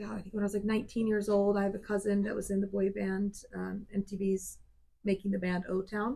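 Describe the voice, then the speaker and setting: Somewhat breathy, with a dark, mellow tone, a woman speaks at a medium pitch and a fairly quick pace in a monotone, flat intonation. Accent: American. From US South, South Georgia. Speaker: country singer. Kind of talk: casual chat.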